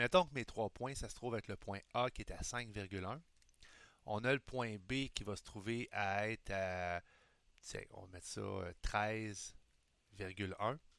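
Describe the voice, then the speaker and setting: With a Quebec accent, a man with a fairly low pitch and ordinary pitch variation speaks at a fairly slow pace, leaving long, frequent pauses. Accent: Québécois French. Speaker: high school math teacher. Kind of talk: recorded lesson. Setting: recording at computer screen. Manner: casual, improvised.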